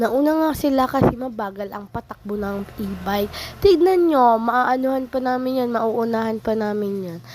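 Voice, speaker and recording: With noticeable background noise behind her, a woman speaks at a moderate pace and a fairly high pitch, with ordinary pitch variation, big swings in loudness and hardly any pauses. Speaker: vlogger. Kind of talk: casual vlog narration.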